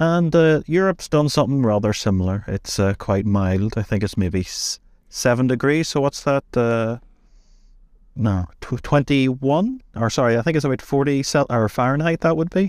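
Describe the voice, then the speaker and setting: A man with a Northern Irish accent speaks at medium pitch and a moderate pace, his intonation lively and his loudness very even. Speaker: podcast co-host. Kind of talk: casual chat.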